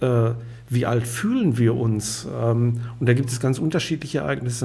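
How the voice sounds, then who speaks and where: Audible room echo surrounds a man's medium-pitched voice. He talks at a fairly slow pace in a dark, mellow tone. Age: 60s. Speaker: clinical hypnotherapist and company director. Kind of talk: podcast conversation.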